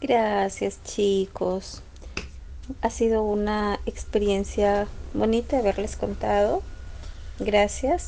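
Very slow and marked by long, frequent pauses, a woman's speech holds a very even loudness throughout. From Peru. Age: 30s. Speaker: story contributor. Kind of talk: storytelling. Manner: halting.

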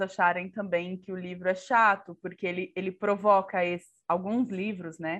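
A normal speaking voice at a fairly slow pace. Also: woman. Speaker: podcast co-host, Portuguese teacher. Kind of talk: casual chat.

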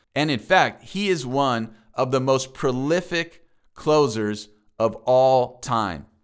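Very slowly and with lively intonation, a man speaks at a medium pitch with an American accent. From San Diego, California. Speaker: former pro baseball player, chaplain and coach. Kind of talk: personal testimony narration.

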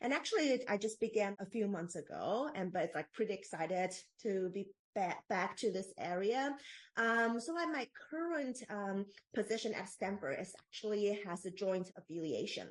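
A woman with a Taiwanese accent speaks at a medium pitch. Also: lively intonation, moderate pace. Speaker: postdoctoral researcher in ethics. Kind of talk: interview. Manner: halting.

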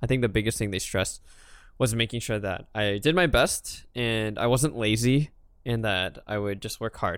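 The man's pitch is medium, with ordinary variation. He talks at a moderate pace. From US, child of Hong Kong immigrants. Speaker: podcast co-host. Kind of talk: casual chat. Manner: halting.

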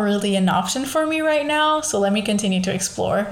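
Noticeable background noise and audible room echo accompany a woman who talks fairly high in pitch, varying it in an ordinary way. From Portugal, Lisbon. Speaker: podcast host. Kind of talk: casual monologue.

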